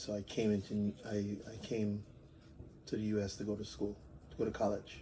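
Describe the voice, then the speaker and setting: This man's voice is fairly low, with a dark, mellow tone. It is somewhat breathy. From Jamaica, Montego Bay. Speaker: interviewee, immigrant. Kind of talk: interview answers. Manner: hesitant, with fillers.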